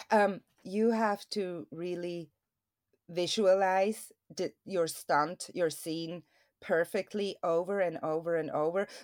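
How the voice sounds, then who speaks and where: On a very clean recording with a silent background, a woman with a Swiss accent speaks at a very slow pace with fairly even intonation and a fairly low pitch. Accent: Swiss, non-native English. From Switzerland. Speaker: stuntwoman. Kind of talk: interview.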